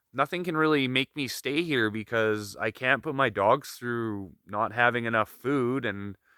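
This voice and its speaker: In a very clean recording with a silent background and a dry, close sound with no echo, a man speaks fairly slowly in a calm, relaxed tone at medium pitch with ordinary pitch variation. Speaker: solo wilderness video diarist. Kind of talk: casual video diary monologue. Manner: hesitant, with fillers.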